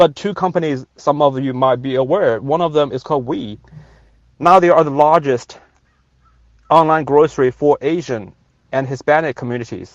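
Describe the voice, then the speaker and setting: Speaking at a moderate pace with a Chinese accent, a man with a fairly high pitch takes long, frequent pauses against a quiet background. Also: ordinary pitch variation. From China. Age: 40s. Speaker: venture capitalist. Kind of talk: rally speech. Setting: in a car by the highway. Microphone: phone on 5G.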